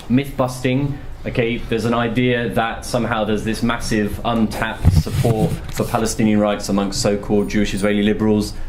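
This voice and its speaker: A man talks at a fairly quick pace with a fairly low pitch. Audible room echo and noticeable background noise surround him. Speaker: journalist and author giving a talk. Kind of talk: Q&A answers after a talk. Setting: university lecture room with audience. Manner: fast.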